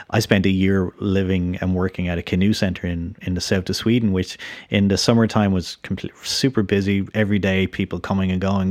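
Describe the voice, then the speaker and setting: Over a very clean, silent background, a man with an Irish accent and a very deep, low voice speaks in a flat monotone. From Ireland. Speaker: podcast host. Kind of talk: interview.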